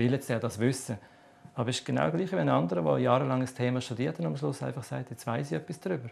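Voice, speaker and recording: A man rushes along at a very fast pace with vocal fry. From Switzerland. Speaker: author on reincarnation. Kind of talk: TV interview answer. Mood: calm, explanatory. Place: studio.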